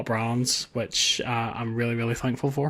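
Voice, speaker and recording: This is a man speaking with a Northern Irish accent. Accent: Northern Irish, noticeable twang. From Northern Ireland. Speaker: tech YouTuber. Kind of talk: interview. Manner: casual, repetitive with restarts.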